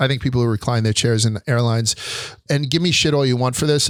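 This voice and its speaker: A man speaks at a very fast pace with an American accent. His pitch variation is ordinary. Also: dry, close sound with no echo. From Michigan. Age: 50s. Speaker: podcast host. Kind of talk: casual chat. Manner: animated.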